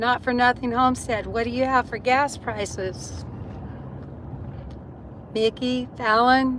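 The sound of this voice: A woman speaks slowly in a raspy, fairly bright voice at a fairly high pitch, with fairly even intonation.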